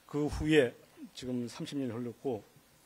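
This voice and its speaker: A man's medium-pitched voice with a dark, mellow tone, ordinary pitch variation and a fairly slow pace. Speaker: journalist running for news agency CEO. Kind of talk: policy presentation speech. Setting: hall with live audience. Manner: formal.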